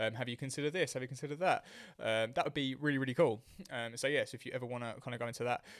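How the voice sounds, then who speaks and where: Very fast, fairly even speech in a British accent. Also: man, medium pitch for a man. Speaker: fitness coach and podcast host. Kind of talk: solo podcast monologue. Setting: talking to a camera.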